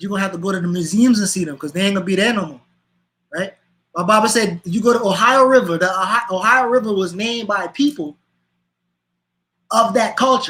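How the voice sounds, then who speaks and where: A man with a high voice speaks in a bright, sharp, passionate tone at a fairly quick pace, leaving long, frequent pauses. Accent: American. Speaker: comedian and motivational speaker. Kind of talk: interview answer. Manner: passionate, emphatic.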